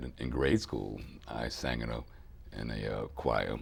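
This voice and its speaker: A man's voice with vocal fry and audible room echo. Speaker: soul singer and bandleader. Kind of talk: interview.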